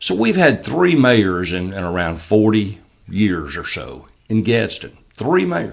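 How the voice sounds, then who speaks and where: With an Alabama accent, this man talks at a fairly slow pace, his fairly low voice carrying lively intonation. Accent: Southern US (Alabama). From US South. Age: 60s. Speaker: mayoral candidate. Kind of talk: casual interview.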